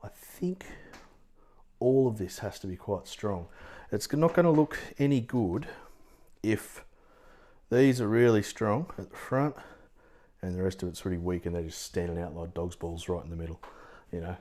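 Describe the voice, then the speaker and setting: A man with an Australian accent speaks at a moderate pace in a fairly low voice with a dark, mellow tone and lively intonation. Long pauses come often, and the recording is very clean with a silent background. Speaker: watercolour art teacher. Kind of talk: live painting tutorial. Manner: casual, thinking aloud; quiet at times.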